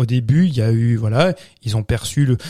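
Dark, mellow, somewhat breathy male voice with ordinary pitch variation, in a dry, close sound with no echo. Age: 30s. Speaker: film podcast panelist. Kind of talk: casual chat.

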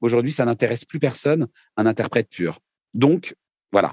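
A man talks at a moderate pace with medium pitch and ordinary pitch variation. The sound is dry and close, with no echo. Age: 40s. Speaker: singer-songwriter. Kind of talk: casual interview.

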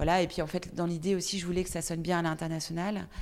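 A woman is speaking. Her voice is fairly low-pitched. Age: 40s. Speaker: entrepreneur. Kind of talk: interview. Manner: halting.

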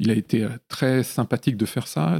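Dry and close with no echo, this very clean recording with a silent background captures a man at a medium pitch. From Lyon area, France. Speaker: film composer. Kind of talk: casual interview. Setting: home studio. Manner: hesitant, with frequent fillers.

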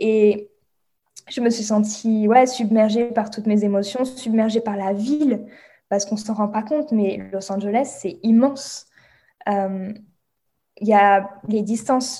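A woman speaks very slowly, with long, frequent pauses and fairly even intonation. Her fairly high voice is somewhat breathy, with a dark, mellow tone. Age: 20s. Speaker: meditation guide and Reiki practitioner. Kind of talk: casual interview chat.

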